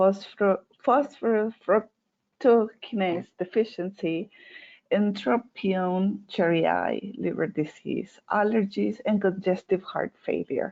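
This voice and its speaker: With a non-native accent, a woman speaks at a very slow pace in a medium pitch with ordinary pitch variation. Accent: non-native English, noticeable. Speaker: veterinarian. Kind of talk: webinar presentation. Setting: online webinar. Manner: hesitant, many fillers.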